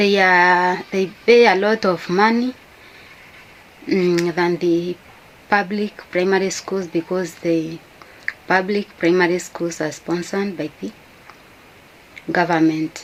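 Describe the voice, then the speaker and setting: Very slow speech with a Kenyan accent, fairly even intonation and long, frequent pauses comes through noticeable background noise. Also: woman, medium pitch for a woman. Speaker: YouTuber. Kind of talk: casual talk to camera. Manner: halting.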